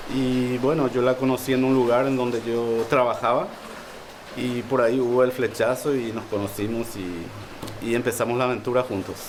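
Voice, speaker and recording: A man speaks in a Paraguayan accent with monotone, flat intonation. Background noise is noticeable. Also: medium pitch for a man, moderate pace. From Paraguay, Lambaré. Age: 50s. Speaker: harpist. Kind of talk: interview. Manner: halting.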